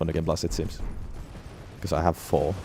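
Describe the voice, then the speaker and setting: This is a man speaking. He mumbles. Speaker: gaming streamer. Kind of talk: live gameplay commentary. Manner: mumbling.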